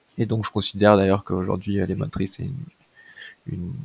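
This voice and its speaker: With a normal speaking voice, a man talks at a moderate pace, fairly low in pitch with ordinary pitch variation, in a dry, close sound with no echo. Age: 30s. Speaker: entrepreneur. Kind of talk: interview.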